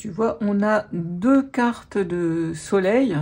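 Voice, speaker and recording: A woman's medium-pitched voice, with ordinary variation in pitch, comes through over a quiet background. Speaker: tarot reader and life coach. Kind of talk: tarot reading. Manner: animated.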